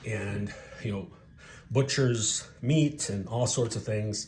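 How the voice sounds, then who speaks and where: With ordinary pitch variation, this voice comes across as somewhat breathy. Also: man. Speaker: knife reviewer. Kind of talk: casual product review to camera.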